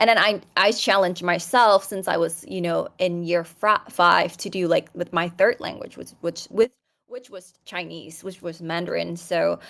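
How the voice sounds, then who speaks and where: A woman with a Thai accent uses vocal fry at a fairly low pitch, her loudness rising and falling sharply. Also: fairly even intonation, moderate pace. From Thailand. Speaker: podcast guest, opera singer, polyglot. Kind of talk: casual chat. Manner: halting, many fillers and restarts.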